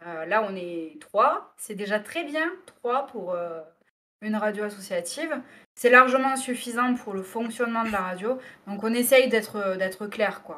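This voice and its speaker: A woman with a fairly high pitch and a bright, sharp tone speaks at a fairly slow pace, her lively intonation paired with big swings in loudness. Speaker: radio presenter. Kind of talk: interview answer.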